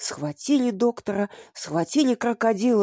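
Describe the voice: Plain reading aloud is what this clip holds. Nothing more is done with the delivery.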